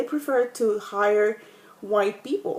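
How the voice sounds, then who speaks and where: A woman speaks at a fairly slow pace. There is noticeable background noise behind her. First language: Spanish. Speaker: student. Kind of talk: class discussion video monologue. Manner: halting, many fillers.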